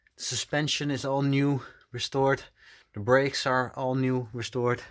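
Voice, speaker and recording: With a Dutch accent, a man of medium pitch speaks at a fairly slow pace. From Netherlands. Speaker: car restoration vlogger. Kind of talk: casual vlog walkthrough. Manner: hesitant, many fillers.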